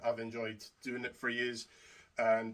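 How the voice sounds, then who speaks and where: A man talks with a Scottish accent. His pace is fairly slow. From Scotland. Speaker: YouTuber reviewing wrestling belt replicas. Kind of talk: product review to camera. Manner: casual, hesitant with fillers.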